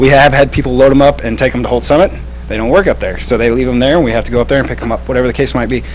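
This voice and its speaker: Against noticeable background noise and audible room echo, a man talks at a very fast pace. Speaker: scooter company worker. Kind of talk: product demonstration. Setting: city council meeting. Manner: casual.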